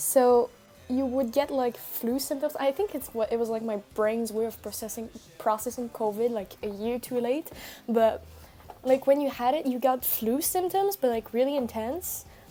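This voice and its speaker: The voice has a dark, mellow tone and comes through loud. It moves at a moderate pace. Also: woman, high pitch for a woman, ordinary pitch variation. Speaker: streamer. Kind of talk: casual chat.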